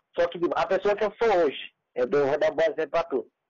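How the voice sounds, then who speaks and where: A man talks in a plain, everyday voice. He keeps a moderate pace and ordinary pitch variation. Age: 20s. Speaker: youtuber and comedian. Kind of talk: casual interview chat.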